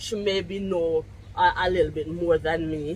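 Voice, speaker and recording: There is noticeable background noise as a woman with a Jamaican accent speaks at a fairly slow pace. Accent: Jamaican English with patois features. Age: 50s. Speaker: vlogger. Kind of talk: casual vlog monologue. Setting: outdoors on her deck. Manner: loud.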